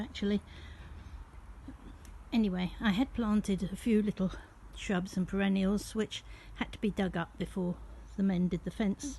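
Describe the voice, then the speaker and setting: A woman speaks at a moderate pace in a medium pitch, her dark, mellow tone somewhat breathy and her intonation flat and monotone. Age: 80s+. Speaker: retired gardener and vlogger. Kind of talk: casual talk to camera.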